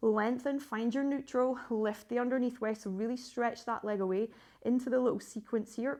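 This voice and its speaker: A woman's high-pitched voice over a quiet background. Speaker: pilates instructor. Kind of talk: guided workout class. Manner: fast; encouraging, instructional.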